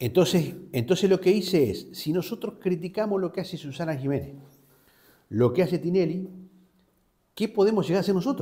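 Over a quiet background, a man talks at a fairly quick pace in a high voice with a dark, mellow tone and ordinary pitch variation. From Argentina, Río Negro (Patagonia); Río Negro, Argentina. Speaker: journalist. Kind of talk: interview. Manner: hesitant, with fillers and repetitions. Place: studio. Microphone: lapel.

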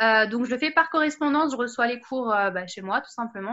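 Over a quiet background, a woman speaks with lively intonation. Her tone is bright and sharp. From Paris region, France; France. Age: 20s. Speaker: wedding planning student and home seller; home seller. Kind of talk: interview. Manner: hesitant, many fillers. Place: home room. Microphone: webcam.

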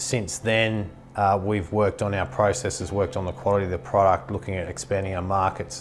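Against light background noise, a man with a fairly low pitch talks at a fairly quick pace in an ordinary speaking voice. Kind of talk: interview answer. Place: office. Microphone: lapel.

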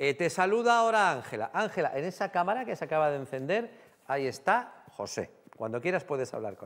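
The speech moves at a fairly quick pace with very wide pitch swings. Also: man, high pitch for a man. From Spain, Guadalajara; Spain. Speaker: TV talk show host. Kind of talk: TV studio interview. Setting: TV studio with audience. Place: studio. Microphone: lapel.

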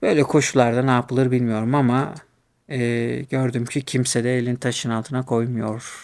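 At a moderate pace, the speaker talks in a monotone, flat way. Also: man, medium pitch for a man, very clean recording, silent background. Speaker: YouTuber in academia. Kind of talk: casual monologue. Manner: hesitant, many fillers; laughs often.

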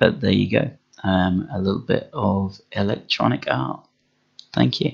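The speaker talks at a fairly slow pace with vocal fry. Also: man. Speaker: artist demonstrating drawing tablet. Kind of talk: tutorial. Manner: halting, many fillers.

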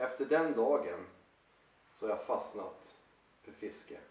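Audible room echo surrounds a man's voice. He speaks at a very slow pace. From northern Sweden, Luleå (Norrbotten); Sweden. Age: 40s. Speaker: angler and fishing vlogger; fishing vlogger. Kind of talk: personal talk to camera. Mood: enthusiastic, persuasive. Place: home room. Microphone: camera far.

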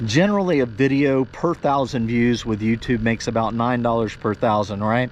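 A man's voice with ordinary pitch variation, light background noise and a dry sound with no echo. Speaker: fishing vlogger. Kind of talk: casual vlog chat. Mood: earnest heart-to-heart. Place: boat. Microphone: phone near.

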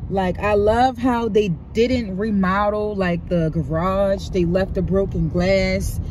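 A fairly slow pace, a dry sound with no echo, and noticeable background noise. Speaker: vlogger driving. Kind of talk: casual vlog chat. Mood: excited, admiring. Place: car. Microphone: phone near.

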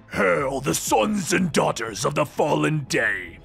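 Over clear background music, a man puts on a character voice with a fairly high pitch and a fairly slow pace.

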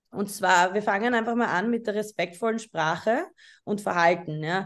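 A woman speaks in a normal speaking voice at a medium pitch and a moderate pace against a quiet background. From Austria, Vienna. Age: 20s. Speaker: photographer. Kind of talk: lecture. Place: home room. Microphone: webcam.

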